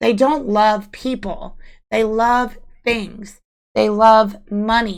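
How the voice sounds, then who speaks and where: Fairly high-pitched woman's voice at a very slow pace, with audible room echo. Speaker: tarot reader. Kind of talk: tarot reading. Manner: repetitive, emphatic.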